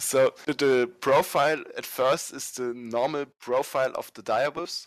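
The speech moves at a fairly slow pace with ordinary pitch variation, in a dry, close sound with no echo over a quiet background. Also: man. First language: not English. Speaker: fan game designer. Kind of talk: casual interview. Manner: halting.

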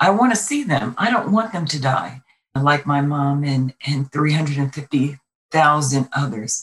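A woman with an American accent speaks at a very slow pace in a very deep, low pitch. Her somewhat breathy voice carries lively intonation. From Brooklyn, New York. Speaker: state legislator and Air Force veteran. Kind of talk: interview.

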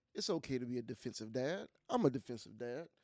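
In a dry, close sound with no echo, a man speaks at medium pitch and a moderate pace. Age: middle-aged. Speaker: podcast co-host. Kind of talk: casual chat. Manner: animated.

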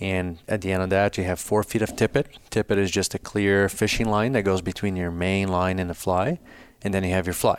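This man has a very deep, low pitch. He keeps a moderate pace and fairly even intonation. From Brazil. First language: Portuguese. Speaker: fly fishing business founder. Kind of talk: casual interview conversation.

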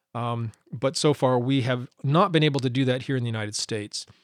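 This man has a medium pitch and an American accent. He talks at a fairly quick pace in a dry, close sound with no echo. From Montana. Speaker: podcast bible teacher. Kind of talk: podcast teaching monologue. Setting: home studio recording. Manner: halting, many fillers.

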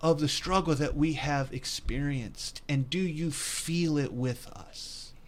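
A man with a fairly high pitch speaks in a normal speaking voice at a fairly slow pace, with hardly any pauses. His pitch varies in an ordinary way. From West Virginia. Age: 50s. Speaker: pastor. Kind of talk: religious discussion podcast. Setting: recorded broadcast.

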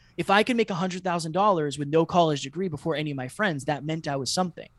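A man speaks at a very fast pace in a high voice, with ordinary pitch variation. The sound is dry and close, with no echo. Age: 30s. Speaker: podcast host. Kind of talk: interview guest.

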